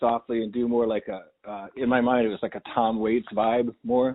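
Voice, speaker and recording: A man's unremarkable speaking voice at a fairly quick pace, with fairly even intonation. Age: 50s. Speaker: podcast host. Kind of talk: casual chat.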